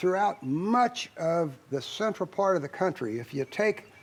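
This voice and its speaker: With lively intonation and a fairly slow pace, a man talks in a high voice over noticeable background noise. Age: 70s. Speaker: cattle farmer. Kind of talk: testimonial interview.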